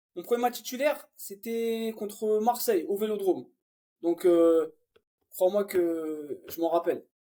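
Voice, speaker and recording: A man speaks at a fairly slow pace in a high pitch. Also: ordinary pitch variation. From Paris region, France. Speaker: professional footballer. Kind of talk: interview. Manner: casual.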